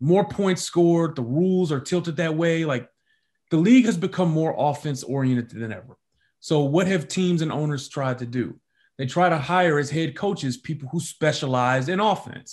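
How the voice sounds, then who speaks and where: A man with an American accent speaks at a moderate pace, his pitch fairly high with ordinary variation. The background is quiet, and it is a plain, everyday voice. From Detroit, US Midwest. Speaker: sports reporter. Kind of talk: interview.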